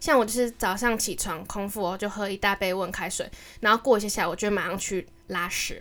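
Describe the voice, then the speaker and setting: An unremarkable speaking voice at a fairly quick pace, with fairly even intonation and big swings in loudness. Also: woman, medium pitch for a woman. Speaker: podcast co-host. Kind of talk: casual monologue.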